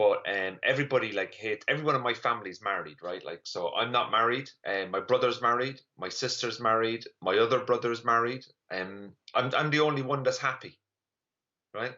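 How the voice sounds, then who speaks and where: Here a man talks with an Irish accent. His pace is fairly quick, with ordinary pitch variation. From Ireland. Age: 30s. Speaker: comedian. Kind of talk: stand-up. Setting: online live stream.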